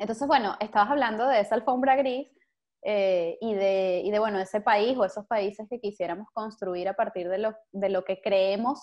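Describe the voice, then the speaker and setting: A woman's medium-pitched voice moves at a moderate pace, its pitch varying in an ordinary way. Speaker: podcast host. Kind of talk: interview. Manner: hesitant, many fillers.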